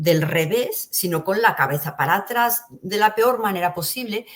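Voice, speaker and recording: In a plain, everyday voice, a woman talks at a fairly slow pace, medium in pitch and lively in intonation. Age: 60s. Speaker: interview guest sharing near-death experiences. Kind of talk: testimony.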